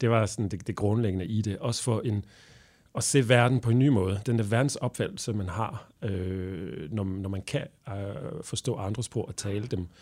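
The recording is very clean with a silent background. A man talks fairly slowly at a fairly low pitch with ordinary pitch variation. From Belgium. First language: French (speaking Danish). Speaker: translator and interpreter. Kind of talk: interview. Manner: halting.

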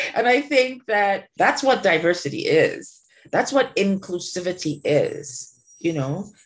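A woman speaks at a fairly slow pace in a somewhat breathy, medium-pitched voice. Her pitch swings very widely. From Trinidad. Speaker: media company founder. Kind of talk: interview. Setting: remote recording at home.

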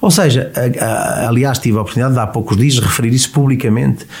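Noticeable background noise is present. Over it, a man speaks at a fairly quick pace. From Portugal, Viseu. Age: 40s. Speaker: politician. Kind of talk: interview.

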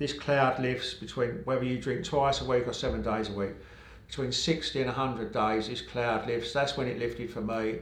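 A man with an English accent at a medium pitch and moderate pace, fairly even intonation, noticeable background noise and audible room echo. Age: 50s. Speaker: sobriety coach. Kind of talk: casual chat.

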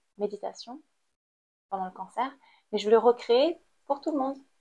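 The speaker is a woman with a fairly high pitch. Her tone is dark and mellow. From Cambodia. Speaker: artist-activist. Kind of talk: interview. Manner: halting.

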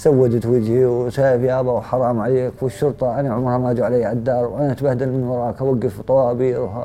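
A man's medium-pitched, monotone, flat voice at a fairly quick pace with hardly any pauses. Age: 30s. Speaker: former convict, painter and plasterer. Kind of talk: testimony.

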